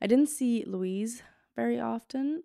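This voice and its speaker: Someone with an American accent speaks very slowly, recorded with a dry, close sound and no echo. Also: woman. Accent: American-sounding English. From Germany. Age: 20s. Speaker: podcast host. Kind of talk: casual solo chat. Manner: hesitant, many fillers.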